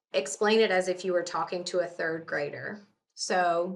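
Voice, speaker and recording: Moderate pace, ordinary pitch variation, and an ordinary speaking voice. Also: woman. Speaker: lawyer. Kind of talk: interview. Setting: podcast.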